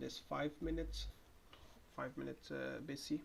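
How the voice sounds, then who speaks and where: The speaker has a Moroccan accent and talks at a moderate pace. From Morocco. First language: Moroccan Arabic (Darija). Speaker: day trader. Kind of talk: live trading commentary. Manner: halting, repeats words.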